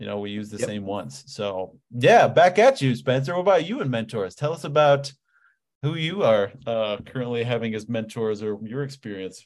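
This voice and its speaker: A man with an American accent speaks at a medium pitch and a moderate pace. His intonation is lively, and his loudness swings widely. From Ohio, US. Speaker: online fitness coach. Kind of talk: casual interview chat. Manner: energetic, animated.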